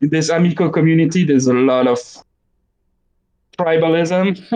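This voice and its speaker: The man's voice sits at a fairly high pitch, and his intonation stays fairly even. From Belgium and Quebec, French-speaking. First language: French. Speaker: gaming YouTuber. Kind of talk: casual chat. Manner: halting, many fillers and repeats.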